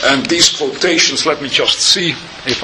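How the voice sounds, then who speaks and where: Noticeable background noise surrounds a man's voice. The room gives off audible echo. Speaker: rabbi and Torah teacher. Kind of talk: lecture. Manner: hesitant with filler sounds.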